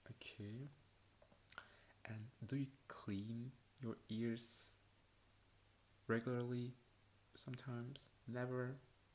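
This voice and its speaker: Monotone, flat intonation from a man at a very slow pace, with long, frequent pauses. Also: medium pitch for a man. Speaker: ASMR creator playing an examiner. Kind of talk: ASMR roleplay, soft-spoken medical exam. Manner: soft-spoken, slow, with hesitations.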